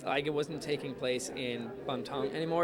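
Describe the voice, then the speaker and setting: Crowd noise fills the background as a man speaks at a fairly quick pace in a fairly high voice with ordinary pitch variation and audible room echo. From Denmark. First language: Danish. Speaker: actor. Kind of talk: interview. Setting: fan convention. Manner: hesitant, many fillers.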